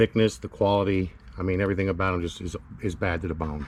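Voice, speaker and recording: A man speaks at a very fast pace with a very deep, low pitch. His somewhat breathy voice shows ordinary pitch variation. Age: 50s. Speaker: DIY mechanic video maker. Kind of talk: tutorial. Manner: casual.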